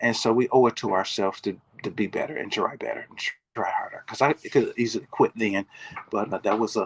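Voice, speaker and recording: A man with an American accent at a fairly quick pace, dry and close with no echo. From Michigan, US Midwest. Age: 60s. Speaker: natural bodybuilder and minister. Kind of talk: interview, motivational testimony. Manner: preacherly, exhortative.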